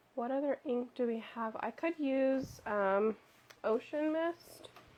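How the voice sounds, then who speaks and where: Soft-spoken and high-pitched, a woman talks at a very slow pace with ordinary pitch variation. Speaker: crafter streaming a notebook-making session. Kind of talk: live craft tutorial chat. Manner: soft-spoken, quiet.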